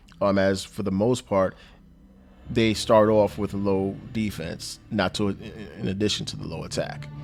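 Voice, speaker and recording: A man's fairly low voice at a fairly slow pace, fairly even in intonation, with music in the background. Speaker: gaming youtuber. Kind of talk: gameplay commentary.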